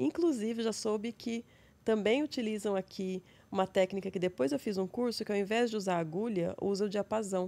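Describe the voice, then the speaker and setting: Moderate pace and ordinary pitch variation in a woman's dark, mellow tone. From interior of São Paulo state, Brazil (São José do Rio Preto); São Paulo state, Brazil. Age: 40s. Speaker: psychologist; guest. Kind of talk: interview; interview answer. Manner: calm. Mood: calm, reflective. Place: studio. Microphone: studio mic.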